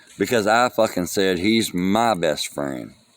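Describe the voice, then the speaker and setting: Noticeable background noise sits behind this man. His pitch swings very widely. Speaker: vlogger mourning a friend. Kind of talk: casual monologue. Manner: halting, loses track.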